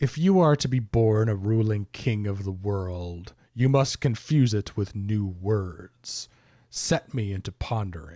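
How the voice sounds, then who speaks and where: A man's put-on character voice at a fairly slow pace, on a very clean recording with a silent background. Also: fairly low pitch for a man. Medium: read story.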